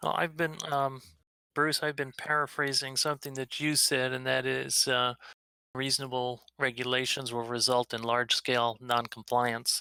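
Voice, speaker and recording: With a bright, sharp tone and fairly even intonation, a man is heard in a dry, close sound with no echo. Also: medium pitch for a man, moderate pace. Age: 60s. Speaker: drone advocacy organizer. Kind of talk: online community meeting discussion. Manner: calm, measured; halting, many fillers.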